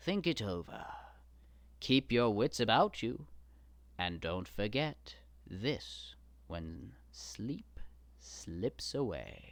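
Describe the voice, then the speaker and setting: Using a put-on character voice, a man speaks at a fairly low pitch and a very slow pace, with long, frequent pauses. The recording is very clean, the background silent. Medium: read story. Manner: persuasive, flattering.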